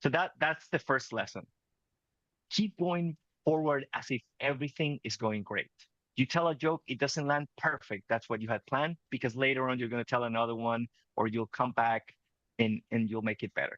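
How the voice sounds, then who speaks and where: The sound is dry and close, with no echo. A man with a Spanish accent speaks at medium pitch. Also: ordinary pitch variation, moderate pace. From Venezuela. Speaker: communication coach. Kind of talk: interview conversation.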